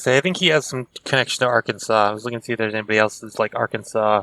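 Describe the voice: A man talks at a very fast pace with a bright, sharp tone and a medium pitch. His pitch varies in an ordinary way, and the sound is dry and close with no echo.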